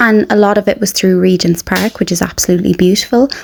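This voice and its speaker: Speaking with an Irish accent, a woman uses a medium pitch. Her pitch variation is ordinary. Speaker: family travel vlogger. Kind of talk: casual vlog narration. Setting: outdoors on a balcony. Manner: soft-spoken; animated.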